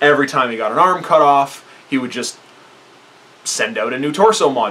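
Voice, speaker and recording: Light background noise accompanies a man speaking. He talks at a fairly quick pace with ordinary pitch variation. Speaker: hobby reviewer. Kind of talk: casual vlog commentary. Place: home room. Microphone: camera far.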